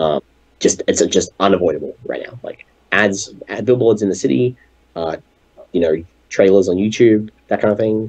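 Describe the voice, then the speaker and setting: The man's delivery is neither fast nor slow. Long pauses break it up often. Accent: Australian. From Australia. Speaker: game developer. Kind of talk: interview. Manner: halting.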